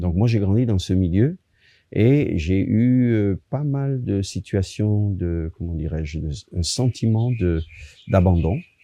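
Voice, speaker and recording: A man's dark, mellow tone at a fairly low pitch, with lively intonation and a very slow pace over a quiet background. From Italy, moved to France at 10. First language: Italian (speaking French). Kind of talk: testimony. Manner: halting, many fillers.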